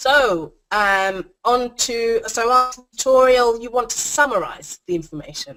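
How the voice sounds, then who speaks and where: Loud and bright, a woman speaks with a sharp tone at a fairly high pitch. She goes at a fairly slow pace with hardly any pauses. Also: lively intonation. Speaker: online course creation coach. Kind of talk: tutorial. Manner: animated.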